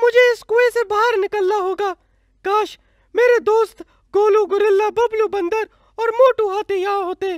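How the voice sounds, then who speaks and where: At a moderate pace, a female-sounding cartoonish character voice speaks at an extremely high pitch. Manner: expressive cartoon voice.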